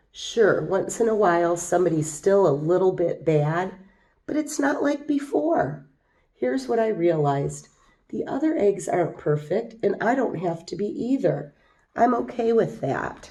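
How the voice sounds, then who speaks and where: Putting on a raspy character voice at a medium pitch, a woman talks at a moderate pace with very wide pitch swings. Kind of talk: children's picture book reading. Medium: read story.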